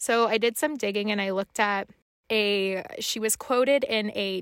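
In a very clean recording with a silent background and a dry, close sound with no echo, a woman with an unremarkable speaking voice talks at a fairly slow pace and fairly high pitch with fairly even intonation. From Canada, French Canadian family. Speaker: podcast co-host. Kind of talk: casual chat.

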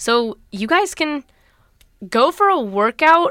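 A woman speaks in an animated tone. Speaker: solo podcaster. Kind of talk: casual solo talk.

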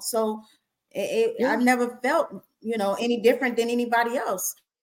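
Animated in tone, a woman with a high pitch speaks at a moderate pace with ordinary pitch variation. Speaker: online talk show host and singer. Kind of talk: casual chat.

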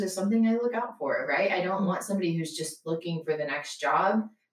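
A woman has a normal speaking voice with a fairly low pitch. Her pitch variation is ordinary. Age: 20s. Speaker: nonprofit operations manager. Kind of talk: interview.

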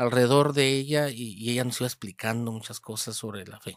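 In a very clean recording with a silent background, a man speaks at a moderate pace, the sound dry and close with no echo. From Hermosillo, Sonora, Mexico. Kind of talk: interview about his vocation story. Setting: seminary. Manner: halting, many repeated words.

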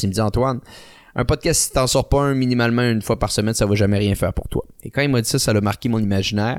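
A man talks at a very fast pace with fairly even intonation. The sound is dry and close, with no echo. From Quebec City. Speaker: podcast host and online ad agency owner. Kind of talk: interview.

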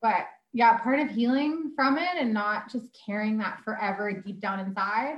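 A woman's fairly high, somewhat breathy voice with a Canadian prairie accent. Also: ordinary pitch variation, moderate pace. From Alberta, Canada (Sherwood Park). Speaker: mother sharing birth story. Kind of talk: interview, personal story.

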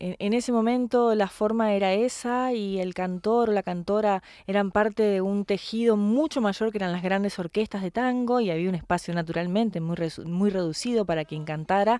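With a Rioplatense accent, a woman speaks at a moderate pace in a dark, mellow tone, her medium pitch showing ordinary variation. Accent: Argentine Spanish (rioplatense). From Argentina. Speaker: tango singer. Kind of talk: interview.

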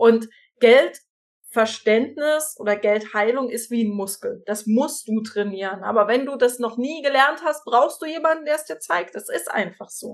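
The intonation is lively. It is an ordinary speaking voice. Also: woman, fairly high pitch for a woman, fairly slow pace. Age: 30s. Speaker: financial coach. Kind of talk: casual interview chat.

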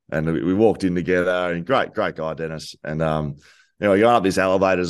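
Against a quiet background, the speaker rushes at a very fast pace with an Australian accent. Pitch variation is ordinary. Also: man. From Victoria, Australia (Geelong). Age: 30s. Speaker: former footballer and podcaster. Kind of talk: casual chat.

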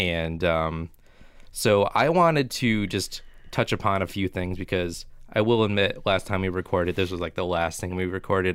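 Pitch varies in an ordinary way. The delivery keeps a moderate pace. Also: man, very clean recording, silent background. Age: 20s. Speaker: podcast co-host. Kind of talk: casual chat.

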